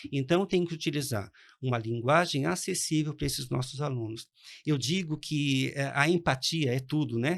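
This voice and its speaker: A man with a fairly high pitch speaks in a normal speaking voice. His pitch variation is ordinary and his pace is moderate. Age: 60s. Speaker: economics professor. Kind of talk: interview.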